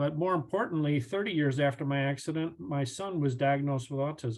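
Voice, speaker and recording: Fairly high-pitched man with a plain, everyday voice and fairly even intonation. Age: 60s. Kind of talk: webinar presentation.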